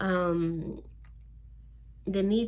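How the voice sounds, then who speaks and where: A woman with a Spanish accent talks in a somewhat breathy voice. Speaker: spiritual energy teacher. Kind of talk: spiritual talk. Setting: studio. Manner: slow; halting.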